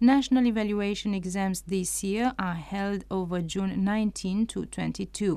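Speaking with a Romanian accent, a woman uses a medium pitch and a dark, mellow tone, moving at a fairly slow pace with fairly even intonation and hardly any pauses. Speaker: radio presenter. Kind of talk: news report reading. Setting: studio.

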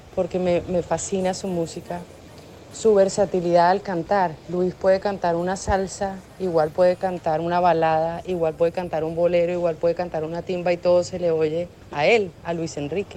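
Her voice dark and mellow, a woman speaks at a moderate pace in a fairly low pitch with monotone, flat intonation. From Colombia, Bogotá. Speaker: singer. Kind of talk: recorded testimonial.

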